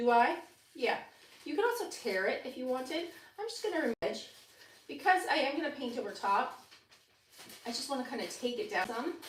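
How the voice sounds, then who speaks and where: A woman's high voice with very wide pitch swings, a fairly quick pace and long, frequent pauses, amid audible room echo and noticeable background noise. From Canada. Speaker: furniture painting demonstrator. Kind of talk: tutorial. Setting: livestream. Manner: animated. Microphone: single mic routed to other platform, may be quiet.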